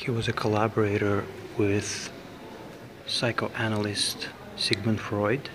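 Monotone, flat intonation at a very slow pace, with long, frequent pauses and noticeable background noise. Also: man, fairly low pitch for a man. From Azerbaijan (Baku). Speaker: video blogger. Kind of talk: casual vlog tour and chat. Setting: museum, walking tour. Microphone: phone near.

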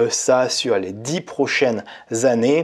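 A man speaking very slowly against a quiet background. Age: 30s. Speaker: YouTuber on personal finance and online business; YouTuber on personal finance. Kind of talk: tutorial. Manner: casual. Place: home room. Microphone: lapel.

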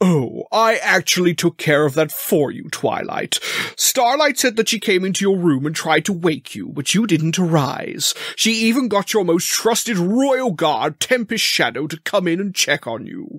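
Using a put-on character voice, a man speaks high for his sex at a moderate pace. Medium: audio drama.

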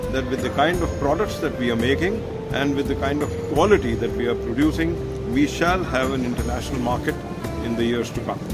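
Over loud music in the background, a man talks at a fairly quick pace. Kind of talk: interview answer. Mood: calm, formal. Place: hall. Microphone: phone near.

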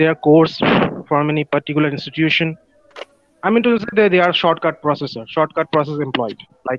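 A man with a Bengali accent at a fairly high pitch, using ordinary pitch variation, in a dry sound with no echo. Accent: Bengali Indian. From India, West Bengal (Kolkata). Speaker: internal auditor, participant in English practice call. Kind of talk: casual conversation practice. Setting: video call. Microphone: video call.

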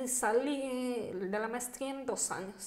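Speaking at a very slow pace, a woman talks in a high pitch. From Mexico, Chihuahua (Bachíniva, Cuauhtémoc); Chihuahua, Mexico. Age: 40s. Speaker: deaf athlete and entrepreneur; podcast guest. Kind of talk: interview. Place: home room. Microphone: studio mic.

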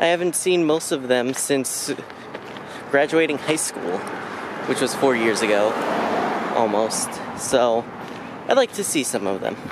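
Over noticeable background noise, a man speaks at a fairly slow pace with long, frequent pauses, in a dry sound with no echo. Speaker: vlogger. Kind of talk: casual vlog chat. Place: street. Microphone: phone near.

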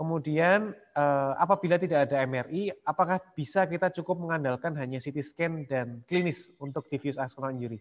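At a moderate pace and with hardly any pauses, a man speaks in a fairly high pitch with ordinary pitch variation. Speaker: webinar moderator. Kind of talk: moderated webinar discussion. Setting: video call. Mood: polite, smiling. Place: home room. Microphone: earbuds.

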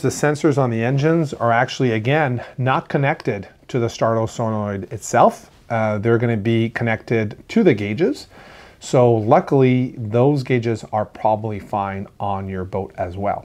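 A man talks at a moderate pace. He leaves hardly any pauses. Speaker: marine technician host. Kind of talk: explanatory Q&A talk to camera. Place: studio. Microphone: lapel.

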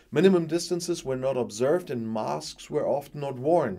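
At a moderate pace, a man speaks in a dark, mellow tone. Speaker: news video presenter. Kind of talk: news reading. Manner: formal, even-paced; neutral, matter-of-fact. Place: studio.

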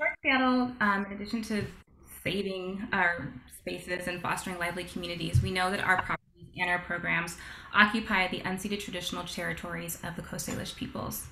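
Speech comes at a very fast pace over light background noise, with audible room echo. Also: woman, ordinary pitch variation. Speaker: webinar host for heritage organization. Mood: warm, grateful.

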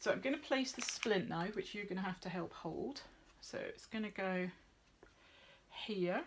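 Noticeable background noise runs beneath a woman's speech. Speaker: veterinary nurse instructor. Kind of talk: tutorial. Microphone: phone near.

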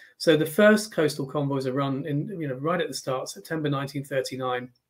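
A man with a British accent speaks at a fairly slow pace. His pitch varies in an ordinary way over a quiet background. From England. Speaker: naval historian. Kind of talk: history talk with slides. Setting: video call. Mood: warm, relaxed. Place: home room.

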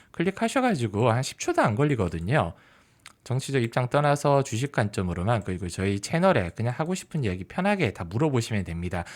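Pitch swings very widely as a man speaks at medium pitch and a fairly quick pace. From Busan, South Korea. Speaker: stock market YouTuber, former journalist. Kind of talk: solo market commentary.

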